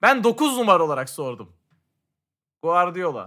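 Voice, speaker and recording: In a very clean recording with a silent background, a man uses a raised, projected voice. His tone is bright and sharp, and his pitch swings very widely. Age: 30s. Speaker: podcast co-host. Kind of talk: casual chat.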